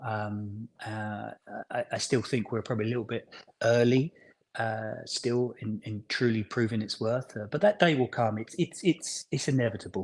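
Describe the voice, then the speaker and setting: This man speaks with a London accent at a medium pitch. His pace is moderate and his pitch varies in an ordinary way. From London, England. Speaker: business founder. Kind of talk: casual chat. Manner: halting.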